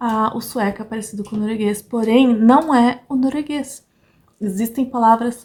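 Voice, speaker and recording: A woman speaks at a moderate pace in a fairly high pitch. Her pitch variation is ordinary. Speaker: vlogger. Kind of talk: casual vlog talk. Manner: animated.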